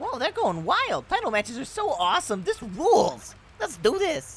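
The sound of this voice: In a put-on character voice, a man talks at an extremely high pitch with very wide pitch swings and a fairly bright tone. Vocal fry runs through his moderate-paced delivery.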